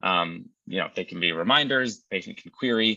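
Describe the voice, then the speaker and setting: Rather brisk speech from a man, his pitch rising and falling in a normal way. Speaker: clinician presenting a care project. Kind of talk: presentation. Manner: fast.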